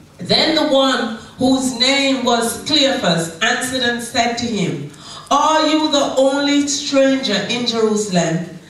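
Audible room echo surrounds a woman who talks at a very slow pace. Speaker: pastor. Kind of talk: sermon. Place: church.

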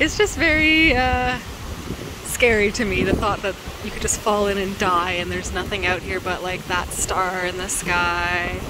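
The speech moves at a moderate pace, with a dry sound with no echo and noticeable background noise behind it. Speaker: travel vlogger. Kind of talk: casual vlog chat. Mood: nervous, giggly. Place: boat. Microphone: phone near.

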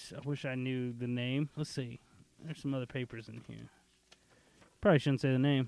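A man at medium pitch talks at a fairly quick pace, with long, frequent pauses and big swings in loudness. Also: fairly even intonation. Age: 30s. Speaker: podcast host. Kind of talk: casual chat.

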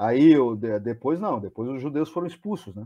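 A man at a moderate pace with lively intonation. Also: quiet background. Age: 40s. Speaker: history teacher; history channel host or guest. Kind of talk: casual chat. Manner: halting. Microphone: video call.

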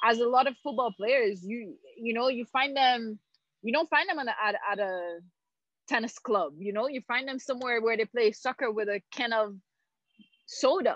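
With a high pitch and ordinary variation, a woman talks at a moderate pace in a dry sound with no echo over a quiet background. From Haiti. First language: French. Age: 30s. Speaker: former pro tennis player and Olympian; interview guest. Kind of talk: casual interview. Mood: relaxed, reflective. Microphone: video call.

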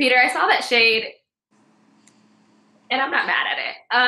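A woman speaks at a high pitch in a bright, sharp tone. Room echo is audible. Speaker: podcast co-host. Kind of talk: casual livestream chat. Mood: playful, laughing. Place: home room. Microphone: webcam.

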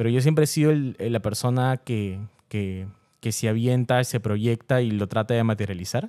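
The voice has a dark, mellow tone. Its pitch rises and falls in an ordinary way. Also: man, moderate pace, quiet background. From Peru. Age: 20s. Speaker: content creator. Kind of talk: interview. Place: studio. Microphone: studio mic.

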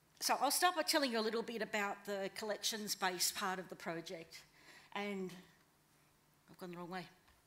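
A woman speaks with an Australian accent. She takes long, frequent pauses. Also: ordinary pitch variation, fairly quick pace. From northwest New South Wales, Australia. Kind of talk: conference talk. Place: hall. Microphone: podium.

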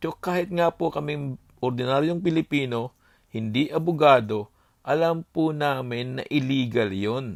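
With ordinary pitch variation, a man speaks at a fairly slow pace in a fairly high pitch. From Bicol, Philippines. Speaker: political commentator vlogger. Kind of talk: monologue. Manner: animated.

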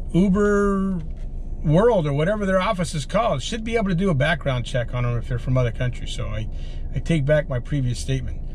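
A man at a very fast pace over light background noise. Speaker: rideshare driver vlogger. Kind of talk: casual vlog chat. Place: car. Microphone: camera far.

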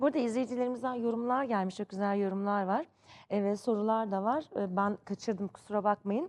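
Against a quiet background, a woman speaks in an ordinary speaking voice at a fairly high pitch with ordinary pitch variation. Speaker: TV sports show presenter. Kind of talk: TV talk show. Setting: TV studio. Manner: effusive.

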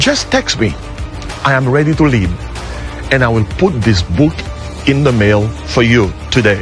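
Clear music plays in the background while a man speaks at a moderate pace in a dry sound with no echo. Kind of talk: promotional address to camera. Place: waterside.

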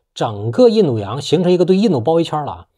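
Against a quiet background, a man talks at a fairly quick pace with a fairly high pitch, a dark, mellow tone and very wide pitch swings. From China. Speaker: political commentator YouTuber; political commentator. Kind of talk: monologue commentary. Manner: casual with frequent filler particles. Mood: assertive, opinionated. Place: home room.

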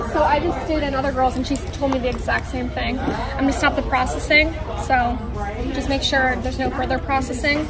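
Fairly quick talk from a woman with crowd noise in the background. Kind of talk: casual service chat with a client. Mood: friendly, upbeat. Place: shop. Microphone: phone near.

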